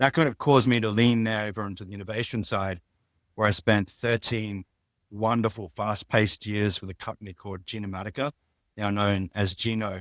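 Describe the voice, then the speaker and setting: A fairly quick man's voice with an Australian accent, fairly low in pitch, with fairly even intonation and big swings in loudness, in a dry, close sound with no echo on a very clean recording with a silent background. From Australia, outback (Mount Isa). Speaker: biotech business executive. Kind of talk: interview.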